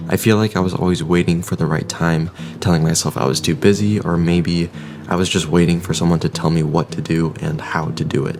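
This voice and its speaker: Fairly quick, fairly even speech in a relaxed tone, against noticeable background noise. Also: man, very deep, low pitch for a man. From Vietnamese family, raised in an English-speaking household abroad. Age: 20s. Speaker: lifestyle vlogger. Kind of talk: casual vlog narration. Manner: relaxed, casual.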